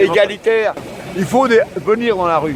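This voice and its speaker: Noticeable background noise sits behind a man's voice. He speaks at a fairly slow pace. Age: 70s. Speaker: activist walker. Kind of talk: street interview. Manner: animated.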